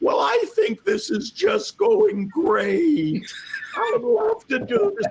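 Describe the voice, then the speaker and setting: Putting on a squeaky character voice, a man speaks very slowly at an extremely high pitch. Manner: friendly, enthusiastic.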